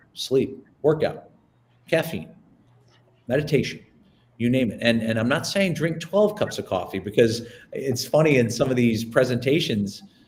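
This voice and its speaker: With lively intonation and a somewhat breathy sound, a man talks with long, frequent pauses. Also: medium pitch for a man. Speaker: presentation coach. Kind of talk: webinar presentation. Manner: fast; animated.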